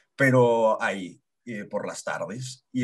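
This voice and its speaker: A man speaks at a very slow pace in a medium pitch. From Mexico, Chihuahua city. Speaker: physical theatre actor. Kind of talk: podcast interview.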